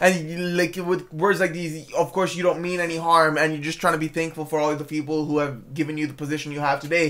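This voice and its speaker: A very fast pace with hardly any pauses. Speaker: movie reviewer. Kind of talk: casual video review. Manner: halting, frequent repetitions and fillers.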